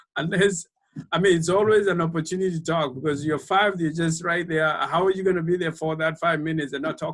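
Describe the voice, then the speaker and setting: Speaking with a Kenyan accent, a man has a high pitch and fairly even intonation. His pace is moderate. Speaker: speaker series organizer. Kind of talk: panel discussion. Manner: halting with many repetitions.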